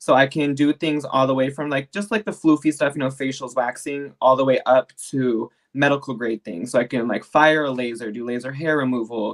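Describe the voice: The speaker talks at a fairly quick pace with fairly even intonation.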